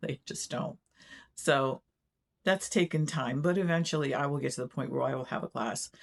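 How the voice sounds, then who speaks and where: A woman's very deep, low voice with vocal fry and ordinary pitch variation, dry and close with no echo. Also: moderate pace. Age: 60s. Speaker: retired quilting vlogger. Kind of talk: casual vlog talk. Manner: casual, with filler words.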